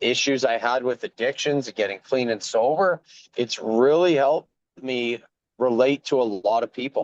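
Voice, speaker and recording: A man with a Canadian Prairie accent and a medium pitch speaks at a fairly slow pace with long, frequent pauses and ordinary pitch variation, the sound dry and close with no echo. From rural Saskatchewan, Canada. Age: 40s. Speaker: former provincial politician and farmer. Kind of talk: interview.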